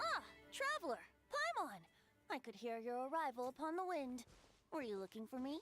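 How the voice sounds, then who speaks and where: Faint music plays behind a female-sounding put-on character voice with a playful tone, moving at a moderate pace with long, frequent pauses. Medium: video game. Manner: light, lilting, playful.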